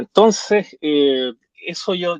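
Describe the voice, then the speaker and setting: This is a man speaking with a Chilean accent. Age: 40s. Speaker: lawyer turned nomad traveler. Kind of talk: interview conversation. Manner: hesitant, many fillers.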